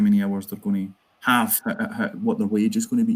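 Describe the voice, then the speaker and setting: A man speaks with a Glasgow accent. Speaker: trade union organiser. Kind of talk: conference talk.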